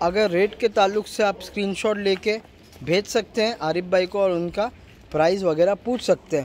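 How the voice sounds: A man talks at a moderate pace with a high pitch and ordinary pitch variation. His tone is slightly mellow.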